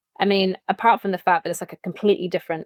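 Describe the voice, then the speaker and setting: In a British accent, a woman with a medium pitch speaks in a monotone, flat way, the sound dry and close with no echo. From England, London. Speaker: branding agent and talent manager. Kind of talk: podcast interview. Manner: casual, with fillers.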